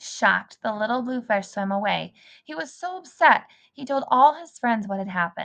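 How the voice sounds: The voice reads in a natural way.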